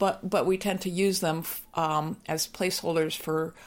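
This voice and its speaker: Speaking at a fairly slow pace, a woman has a fairly low pitch and a plain, everyday voice. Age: 60s. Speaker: anti-ageism activist and author. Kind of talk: interview conversation. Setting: recorded at her home.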